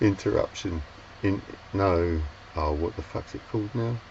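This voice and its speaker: A man with a London accent speaks in a very deep, low pitch, somewhat breathy, with ordinary pitch variation. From London, England. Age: 60s. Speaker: sailor and vlogger. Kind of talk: casual storytelling monologue. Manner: halting, many fillers and restarts.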